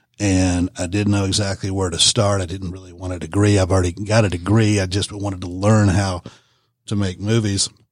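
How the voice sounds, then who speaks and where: With a Southern US accent, a man with a very deep, low pitch speaks at a fairly quick pace in monotone, flat intonation on a very clean recording with a silent background. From Georgia (Warner Robins). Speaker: filmmaker. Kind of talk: interview. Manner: halting, many fillers.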